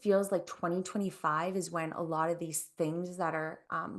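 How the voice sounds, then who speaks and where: Ordinary pitch variation in a woman's voice at a fairly low pitch. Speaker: intuitive channel. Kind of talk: casual interview. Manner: fast when channeling.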